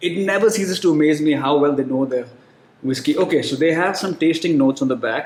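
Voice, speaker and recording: Speaking at a fairly quick pace with an Indian accent, a man uses a fairly high pitch and ordinary pitch variation. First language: Hindi. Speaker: whiskey reviewer. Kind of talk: product review. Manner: casual, relaxed.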